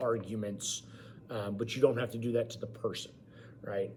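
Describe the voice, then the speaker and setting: The voice belongs to a man. Room echo is audible around it. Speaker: college government instructor and high school teacher. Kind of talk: online lecture. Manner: loud; informal.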